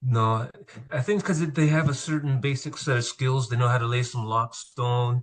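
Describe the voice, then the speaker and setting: The man's somewhat breathy voice holds very even loudness and ordinary pitch variation. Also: medium pitch for a man, moderate pace. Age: 60s. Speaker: landscaper. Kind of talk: casual chat. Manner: hesitant, many fillers.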